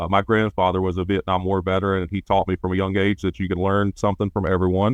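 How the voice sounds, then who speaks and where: A man's very deep, low voice in a Southern US accent, very fast with hardly any pauses and monotone, flat intonation. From Alabama. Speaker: former firefighter/EMT, safety consultant, farmer. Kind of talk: podcast interview answer. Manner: talkative, well-spoken.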